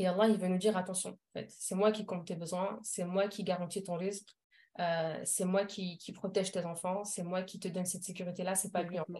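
A woman speaks at a medium pitch and a fairly quick pace with monotone, flat intonation. Her tone is dark, mellow and somewhat breathy. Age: 30s. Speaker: parenting coach. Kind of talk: casual interview. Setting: podcast recording. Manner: hesitant, frequent fillers.

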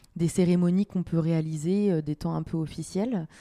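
The woman's dark, mellow voice sits at a fairly low pitch with ordinary variation, moving at a fairly slow pace in a dry, close sound without echo. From France, Le Mans. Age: 30s. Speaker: local politician. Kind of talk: interview.

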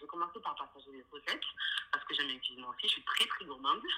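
A woman talks while noticeable noise is audible behind her. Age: 20s. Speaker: interior designer. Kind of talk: interview.

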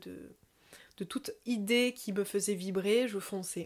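A woman's medium-pitched voice with a slight southern French accent and fairly even intonation, in a very clean recording with a silent background. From southern France, near Toulouse. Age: 30s. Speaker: yoga teacher. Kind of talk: casual podcast monologue.

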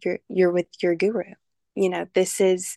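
Her voice is fairly low for a woman, delivered at a moderate pace with monotone, flat intonation in a dry, close sound with no echo and a quiet background. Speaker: podcast co-host, Vedic astrology student. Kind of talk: casual podcast chat.

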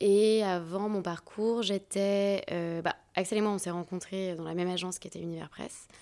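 On a very clean recording with a silent background, a woman talks at a moderate pace, her medium-pitched voice dark and mellow with monotone, flat intonation. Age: 30s. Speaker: agency co-founder and talent manager. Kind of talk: casual interview.

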